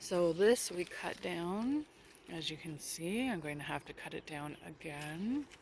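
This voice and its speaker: A woman speaks quietly at a fairly slow pace, with a fairly low pitch and lively intonation. The sound is dry with no echo, over light background noise. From Canada. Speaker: gardening vlogger. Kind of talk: garden tour vlog. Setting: outdoors. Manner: casual. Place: garden.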